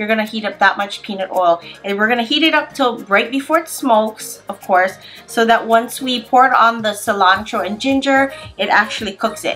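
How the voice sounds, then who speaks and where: Faint music plays behind a woman who talks at a fairly quick pace with ordinary pitch variation. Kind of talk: tutorial. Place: kitchen.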